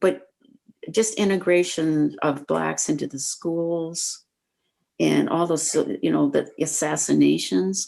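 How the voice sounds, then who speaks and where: A woman with a Midwestern US accent talks at a fairly slow pace. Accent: US Midwest. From small-town Iowa. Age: 70s. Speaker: senior interviewee. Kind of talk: casual interview.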